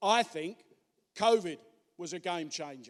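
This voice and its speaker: The tone is animated, the pace fairly slow, and the pitch variation ordinary. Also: man. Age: 60s. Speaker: trade union speaker. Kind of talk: conference speech.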